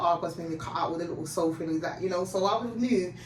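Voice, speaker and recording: Amid noticeable background noise and audible room echo, a woman with fairly low pitch speaks at a very fast pace. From Jamaica and England. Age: 30s. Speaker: guest sharing life story. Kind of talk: interview testimony.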